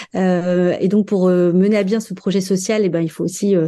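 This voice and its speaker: Against a quiet background, a woman speaks at medium pitch and a moderate pace in a dark, mellow tone with fairly even intonation. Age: 40s. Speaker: development manager at a charity bookshop. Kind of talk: interview. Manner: hesitant, many fillers.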